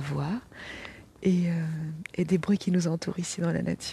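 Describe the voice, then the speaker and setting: Breathy to some degree, a woman speaks in a dark, mellow tone at a fairly low pitch, her intonation fairly even. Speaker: energy healer and meditation guide. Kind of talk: guided meditation. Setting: outdoors by the water in nature. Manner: slow, soothing, calm; gentle, warm, unhurried with long pauses.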